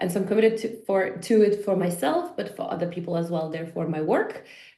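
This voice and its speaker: With a Polish accent, a woman talks fairly quickly at a medium pitch, her tone dark and mellow and her pitch variation ordinary. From Poland. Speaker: fitness and life coach. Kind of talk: podcast interview.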